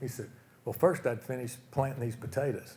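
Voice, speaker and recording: A man with an American accent talks at a fairly quick pace in a somewhat breathy voice. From Oklahoma, US. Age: 70s. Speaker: retired business executive, speaker. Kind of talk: motivational talk. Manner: casual, conversational.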